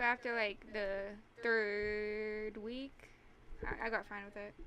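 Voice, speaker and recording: Soft-spoken yet bright and sharp in tone, a woman with fairly high pitch speaks very slowly in a flat monotone, her loudness swinging widely. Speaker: tabletop game master, podcast guest. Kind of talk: casual chat. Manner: halting.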